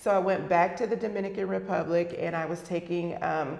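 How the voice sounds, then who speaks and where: Someone with an American accent talks at a fairly quick pace, with audible room echo. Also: woman. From US mainland. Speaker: school district superintendent. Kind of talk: interview. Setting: live interview.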